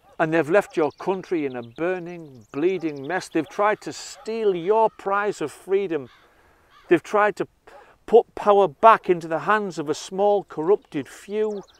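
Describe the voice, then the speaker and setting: A man with a Teesside accent talks at a fairly slow pace in a high pitch. The sound is dry and close, with no echo. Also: ordinary pitch variation, quiet background. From northern England, Redcar. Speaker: political commentator. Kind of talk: monologue. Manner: impassioned.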